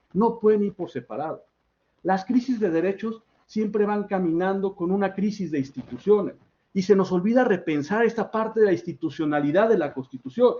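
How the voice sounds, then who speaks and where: Speaking with a Mexican accent, a man with a high voice talks at a fairly quick pace and ordinary pitch variation. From Mexico. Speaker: academic speaker, political scientist. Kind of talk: academic workshop talk. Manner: fast; halting, self-correcting.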